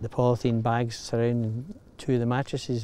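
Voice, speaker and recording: At a moderate pace, a man talks in a dark, mellow tone. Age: 60s. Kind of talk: interview answer.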